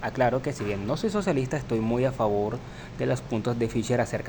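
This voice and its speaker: Over noticeable background noise, a man at a medium pitch speaks at a very fast pace with fairly even intonation. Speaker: podcast host. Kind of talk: debate. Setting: university library. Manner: soft-spoken.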